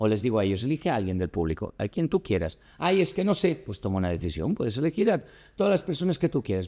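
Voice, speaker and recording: Over a quiet background, a man talks at a very fast pace in a dark, mellow tone, his pitch swinging very widely. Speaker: actor and communication coach. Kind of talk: casual chat. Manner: loud.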